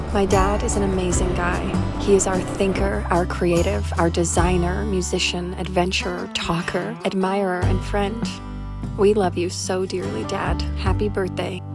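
Over music in the background, the speech moves at a moderate pace with a dry sound and no echo. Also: woman. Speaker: vlogger narrating her family trip. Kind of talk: narrated vlog voice-over.

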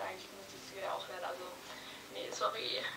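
A woman talking very fast over background music. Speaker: vlogger acting a phone call. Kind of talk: casual phone talk, acted skit. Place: home room. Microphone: camera far.

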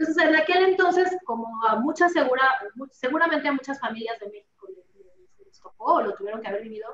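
A woman speaks at a fairly quick pace with lively intonation and big swings in loudness, and the room echo is audible. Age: 40s. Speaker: insurance executive; interview guest. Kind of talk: interview. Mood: warm, motivational. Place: office. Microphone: video call.

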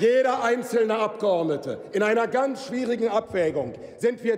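Speaking at a moderate pace, a man uses an extremely high pitch. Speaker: member of parliament. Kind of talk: parliament oratory, a combative, forceful rebuttal delivered from the lectern. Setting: parliament chamber. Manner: heated, emphatic and accusatory, hammering repeated phrases. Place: hall. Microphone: podium.

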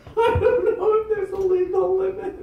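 A man at a moderate pace, with audible room echo. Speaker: stand-up comedian. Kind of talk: rambling open-mic stand-up with crowd work. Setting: stage with audience. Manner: self-deprecating, meandering, giggly; loose, laid-back stoned delivery. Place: bar. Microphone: camera far.

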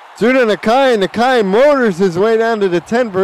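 Noticeable background noise accompanies a man who speaks at a moderate pace with ordinary pitch variation. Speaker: play-by-play sports commentator. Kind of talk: live play-by-play commentary of a simulated football game. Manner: erupts into shouting excitement on big plays.

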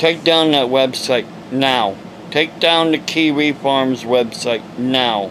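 A man with an American accent talks at a very slow pace over light background noise. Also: ordinary pitch variation, very even loudness. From Ohio, US. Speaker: evangelist preacher. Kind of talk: preaching rant, angry and indignant, scolding critics. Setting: home video monologue to camera. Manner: agitated, emphatic, ranting, scolding; rambling, hesitant with fillers. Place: home room. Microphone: phone near.

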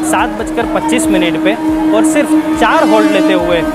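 Loud noise fills the background while the speaker goes at a moderate pace. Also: man. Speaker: travel vlogger. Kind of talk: casual vlog chat. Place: station. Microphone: phone near.

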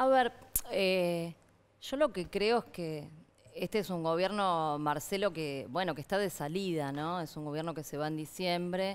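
A woman speaks at a fairly slow pace in a fairly low pitch. Her pitch varies in an ordinary way. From Argentina. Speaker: politician. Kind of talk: heated debate. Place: studio. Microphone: headset.

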